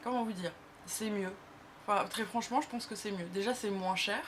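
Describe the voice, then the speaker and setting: Her pitch sits in the middle of a woman's range, and her intonation rises and falls in a lively way. There's a somewhat breathy quality to how this woman talks. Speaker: beauty youtuber. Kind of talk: casual vlog. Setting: talking to camera. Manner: hesitant, many fillers.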